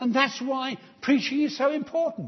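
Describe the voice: At a moderate pace, a man speaks with extremely high pitch and ordinary pitch variation.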